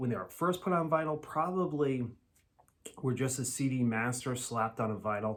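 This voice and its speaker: A man's medium-pitched voice with an American accent, ordinary pitch variation and a moderate pace. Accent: Massachusetts accent, sometimes strong. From Massachusetts, US. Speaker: vinyl record YouTuber. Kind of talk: casual video review. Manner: casual, with fillers.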